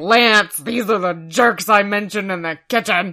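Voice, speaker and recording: A woman puts on a character voice. She speaks at a moderate pace with a medium pitch. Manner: mean, belligerent.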